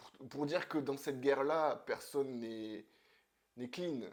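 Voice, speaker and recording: A man keeps to a medium pitch and a fairly slow pace, with ordinary pitch variation. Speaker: comics youtuber. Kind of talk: casual video monologue. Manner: hesitant, many fillers.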